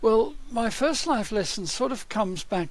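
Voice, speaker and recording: Lively intonation runs through this man's speech at a moderate pace. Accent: Australian. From Australia. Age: 70s. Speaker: learning and development consultant. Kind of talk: podcast interview.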